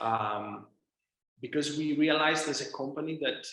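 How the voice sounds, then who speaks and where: This man has a Greek accent and a bright, sharp tone. His intonation is fairly even. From Greece, Thessaloniki. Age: 20s. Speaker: drone company founder and CEO. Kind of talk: interview answer.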